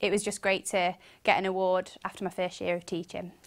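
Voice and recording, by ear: Vocal fry runs through this woman's fairly low voice. Her pitch moves very little.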